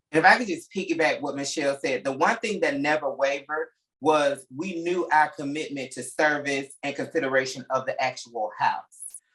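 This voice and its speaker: A man speaks with an American accent in a normal speaking voice, at fairly high pitch. His pace is moderate, with ordinary pitch variation and hardly any pauses. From US South, Alabama. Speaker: interior designer. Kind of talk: interview.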